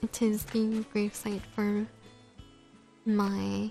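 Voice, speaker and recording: A woman speaks with music in the background. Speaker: gaming streamer. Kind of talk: casual gameplay commentary. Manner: soft-spoken, mumbles at times.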